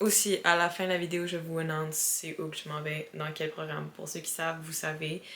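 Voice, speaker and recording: A woman with a fairly low pitch speaks against noticeable background noise. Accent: Quebec. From Quebec. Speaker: vlogger. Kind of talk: casual vlog talk.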